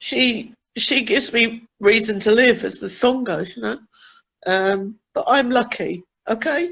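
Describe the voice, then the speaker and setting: A woman speaks at a fairly slow pace with lively intonation. Her fairly high voice carries vocal fry. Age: 50s. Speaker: caller on a live stream. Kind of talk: emotional personal chat. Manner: halting.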